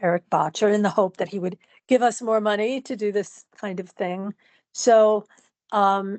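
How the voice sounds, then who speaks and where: The speaker has a plain, everyday voice with fairly even intonation. The sound is dry and close with no echo, over a quiet background. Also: woman, medium pitch for a woman, moderate pace. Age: 60s. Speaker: dancer and writer with multiple sclerosis. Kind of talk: interview.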